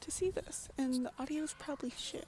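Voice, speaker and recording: Noticeable background noise accompanies a woman speaking in a high voice. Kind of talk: casual vlog monologue. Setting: outdoors in a public park. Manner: halting, stuttering.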